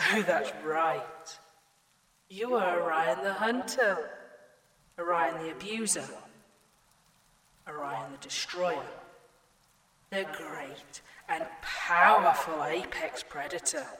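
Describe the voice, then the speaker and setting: With noticeable background noise behind her, a woman of fairly low pitch speaks very slowly with lively intonation and long, frequent pauses. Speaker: AI virtual assistant character in audio drama.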